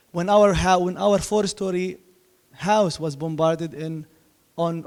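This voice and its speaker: A high-pitched male voice with an Arabic accent and fairly even intonation. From Gaza, Palestine. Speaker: poet. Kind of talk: panel discussion. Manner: halting.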